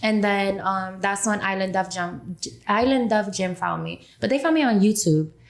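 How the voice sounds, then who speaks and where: The speaker has a New York accent. The intonation is lively. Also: woman, medium pitch for a woman. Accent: New York (Bronx). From New York, the Bronx. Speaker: rapper. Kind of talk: interview. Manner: fast.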